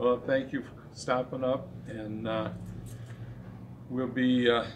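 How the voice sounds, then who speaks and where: Speaking at a very slow pace in an American accent, a man holds a medium pitch with monotone, flat intonation and big swings in loudness. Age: 80s+. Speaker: car dealership owner. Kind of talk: casual interview.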